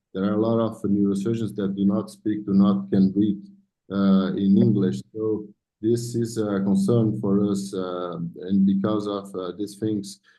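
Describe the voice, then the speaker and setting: In audible room echo, a man with a dark, mellow tone and fairly low pitch speaks slowly in a monotone, flat intonation. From South America. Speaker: neurosurgeon. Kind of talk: conference presentation. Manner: halting.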